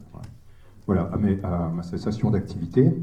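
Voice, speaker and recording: A man with a fairly low voice talks at a moderate pace and ordinary pitch variation, with audible room echo. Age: 60s. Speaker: retired social worker and local councillor. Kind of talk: speech at a political meeting. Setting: hall with audience. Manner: halting, many hesitations.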